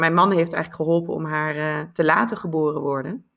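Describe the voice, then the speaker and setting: A woman speaks at a fairly quick pace in a very deep, low pitch with vocal fry and fairly even intonation. The recording is very clean, with a silent background. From Netherlands. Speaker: life coach. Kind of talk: interview.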